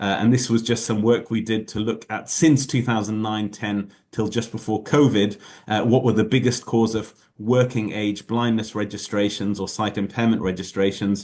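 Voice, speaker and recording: Against a quiet background, a man with a British accent speaks at a fairly low pitch in a monotone, flat intonation. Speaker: ophthalmologist giving invited lecture. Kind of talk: lecture. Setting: video call. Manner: fast; hesitant with many fillers.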